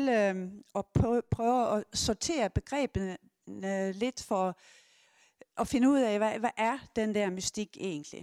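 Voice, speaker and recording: A woman at a fairly high pitch and a very slow pace, on a very clean recording with a silent background and a dry, close sound with no echo. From Sweden. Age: 70s. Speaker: sexology lecturer and gynaecologist. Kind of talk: public lecture.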